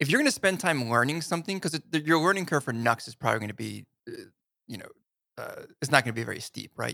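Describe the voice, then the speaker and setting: A man's very fast American-accented voice, medium in pitch, with a bright, sharp tone, vocal fry and lively intonation, on a very clean recording with a silent background and a dry, close sound with no echo. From New Jersey. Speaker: web developer, podcast co-host. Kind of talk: casual chat.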